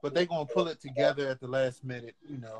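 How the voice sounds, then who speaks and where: Talking at a very fast pace with a Washington DC accent, a man uses ordinary pitch variation. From Washington DC area. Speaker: wrestling podcast co-host. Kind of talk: casual banter about wrestling.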